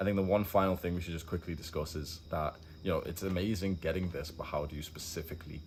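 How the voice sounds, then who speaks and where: Very fast and monotone, a man talks in a very deep, low, somewhat breathy voice with flat intonation, and audible room echo. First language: not English. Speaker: self-improvement content creator. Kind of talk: casual group chat on camera. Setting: poolside rooftop with friends.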